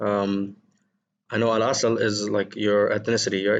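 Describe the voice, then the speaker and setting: A man with a non-native accent talks at a moderate pace in a fairly low pitch, his intonation monotone and flat, over a quiet background. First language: not Arabic. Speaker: English teacher. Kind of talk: lesson. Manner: hesitant, many fillers.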